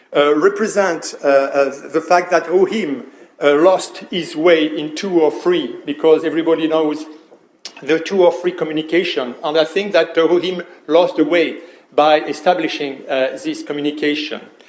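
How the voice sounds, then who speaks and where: Against noticeable background noise, a man speaks in a fairly high pitch with fairly even intonation. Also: moderate pace. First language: not English. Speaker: trademark attorney. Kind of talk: conference presentation. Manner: halting, many fillers.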